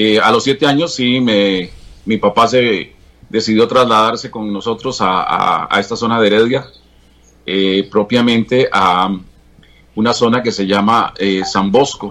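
Speaking at a fairly slow pace with long, frequent pauses, a man with a medium pitch and a bright, sharp tone keeps his intonation fairly even. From Costa Rica, Alajuela province (Atenas, Santa Bárbara). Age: 60s. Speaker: veteran TV journalist. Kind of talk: interview about his life.

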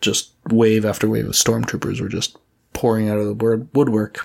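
With a Canadian accent, a man speaks at a moderate pace in a medium pitch. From Edmonton, Alberta, Canada. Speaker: tabletop role-playing podcaster and player. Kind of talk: casual interview. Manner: halting, many fillers.

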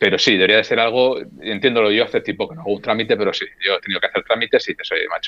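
Very fast speech comes from a man whose volume rises and falls in big swings. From Basque Country, Spain (Getxo near Bilbao). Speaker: former embassy worker, guitarist and youtuber. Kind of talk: casual chat.

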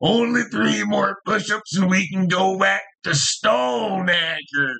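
Putting on a character voice, a man speaks high and fairly slowly with lively intonation. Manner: exaggerated, mocking.

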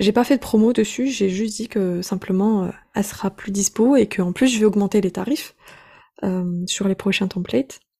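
At a moderate pace, a woman with a medium pitch and ordinary pitch variation sounds somewhat breathy with a dark, mellow tone, in a very clean recording with a silent background. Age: 20s. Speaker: online business coach. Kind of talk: casual interview.

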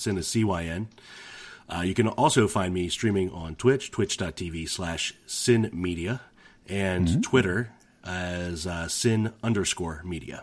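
Speaking at a fairly slow pace, a man with a very deep, low pitch shows ordinary pitch variation. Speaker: gamer, streamer. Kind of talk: casual chat. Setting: online call.

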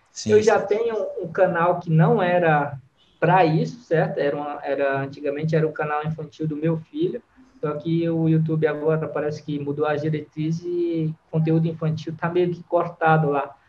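A man with a normal speaking voice, fairly high in pitch, at a moderate pace and with fairly even intonation. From Brazil, Fortaleza, Ceará. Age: 30s. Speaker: freestyle football influencer, ex-athlete. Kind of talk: casual interview.

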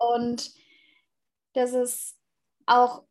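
A woman speaks in a high-pitched voice. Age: 20s. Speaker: former au pair, student. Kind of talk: interview. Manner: hesitant with fillers.

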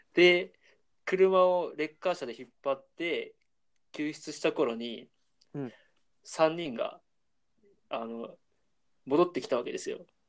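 Speaking fairly slowly in a high pitch, a man makes big swings in loudness and ordinary pitch variation, leaving long, frequent pauses against a quiet background. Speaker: university student, podcast co-host. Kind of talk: casual chat.

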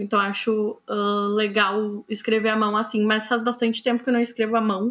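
A woman's voice, fairly high in pitch. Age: 20s. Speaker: author. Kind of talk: interview. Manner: hesitant, many fillers.

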